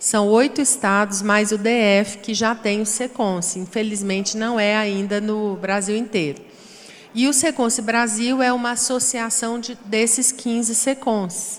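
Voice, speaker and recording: Over noticeable background noise, a woman with a Goiás accent speaks at a fairly slow pace and fairly high pitch, her intonation fairly even. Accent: Goiás accent, often taken for Minas Gerais. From Goiás, Brazil. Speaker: panel moderator. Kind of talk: panel discussion.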